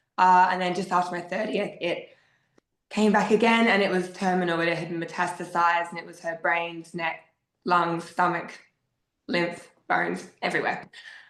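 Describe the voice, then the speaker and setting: A woman speaks in an Australian accent at a fairly low pitch. Her intonation stays monotone and flat. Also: moderate pace, big swings in loudness. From South Australia, Adelaide. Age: 30s. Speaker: podcast guest sharing grief story. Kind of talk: personal testimony.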